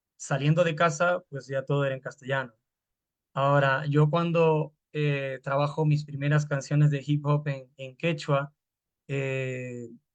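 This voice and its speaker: The background is quiet as a man speaks at a fairly high pitch. His intonation is monotone and flat. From Peru, Lima (San Juan de Lurigancho). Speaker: hip hop artist. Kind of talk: panel talk. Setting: video call. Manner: halting.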